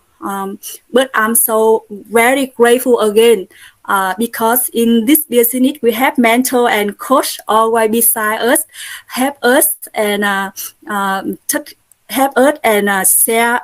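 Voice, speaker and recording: Speaking very slowly with a Vietnamese accent, a woman uses a fairly high pitch and ordinary pitch variation. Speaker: Buddhist nun and network marketer. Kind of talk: testimony. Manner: halting, many fillers.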